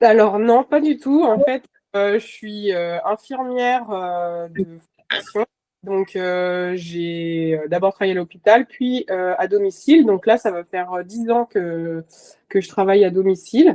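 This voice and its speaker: Very slowly, a woman at medium pitch talks in a dark, mellow tone with lively intonation, the sound dry and close with no echo. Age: 30s. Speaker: nurse and horse boarding owner. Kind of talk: podcast interview. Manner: halting, many fillers.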